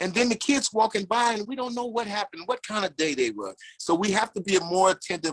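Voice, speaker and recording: A man speaks at a high pitch. The sound is dry and close, with no echo. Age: 60s. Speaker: former prisoner. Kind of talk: testimony. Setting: video call. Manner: animated.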